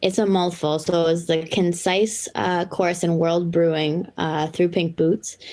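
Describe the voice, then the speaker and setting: A woman with a Boston accent speaks in a fairly low pitch with monotone, flat intonation. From Massachusetts North Shore (Lynn). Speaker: brewer. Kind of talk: casual chat.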